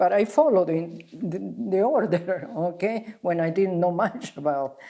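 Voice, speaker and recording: A woman with a non-native accent speaks at a moderate pace. Her medium-pitched voice has lively intonation. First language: not English. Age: 80s+. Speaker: spa founder and wellness teacher. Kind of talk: interview. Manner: halting.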